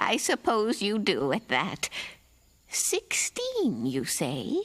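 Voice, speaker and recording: A cartoonish character voice at a very slow pace. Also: woman, fairly high pitch for a woman. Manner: honeyed, knowing.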